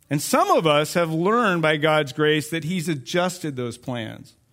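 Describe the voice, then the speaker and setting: On a very clean recording with a silent background, a man speaks with an American accent. His pitch variation is ordinary. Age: 40s. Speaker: youth pastor. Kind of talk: sermon. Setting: church.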